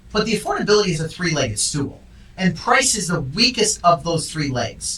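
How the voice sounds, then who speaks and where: A loud man at a high pitch with an American accent, very wide pitch swings and a fairly quick pace over noticeable background noise. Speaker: real estate agent and show host. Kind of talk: casual chat. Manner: animated.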